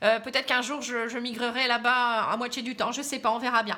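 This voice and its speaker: A woman speaks in a northern French accent at a high pitch. Her intonation stays monotone and flat. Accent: Pas-de-Calais (northern French). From northern France, Pas-de-Calais. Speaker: tarot card reader. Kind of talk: casual aside; tarot reading monologue to camera. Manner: hesitant, many fillers.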